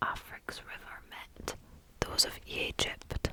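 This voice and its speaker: There is noticeable background noise. Through it, a woman whispers. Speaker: ASMR reader. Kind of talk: ASMR story reading. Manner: soft, slow, whispery.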